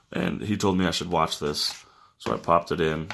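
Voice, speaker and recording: Against a quiet background, a man with a very deep, low pitch and a bright, sharp tone speaks at a fairly quick pace. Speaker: YouTube reviewer. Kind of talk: product unboxing and review, casual. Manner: casual, filler words, conversational. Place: home room.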